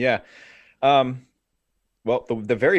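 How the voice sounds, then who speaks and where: A man speaks at a fairly quick pace with an American accent. The background is quiet. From US Northeast, New Jersey near New York City. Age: 30s. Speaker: men's movement founder. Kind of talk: interview. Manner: halting.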